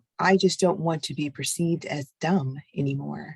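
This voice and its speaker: Soft-spoken and fairly slow, the speaker keeps a fairly even intonation in a dry, close sound with no echo. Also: woman. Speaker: chat moderator. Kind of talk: personal testimony. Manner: halting.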